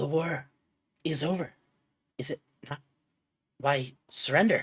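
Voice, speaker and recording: A put-on character voice sits at a middle pitch. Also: moderate pace. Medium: actual play. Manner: terse, pleading.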